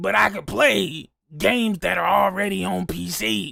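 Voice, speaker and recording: A man speaks in a put-on character voice at a moderate pace, raspy and medium in pitch. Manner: put-on mock voice.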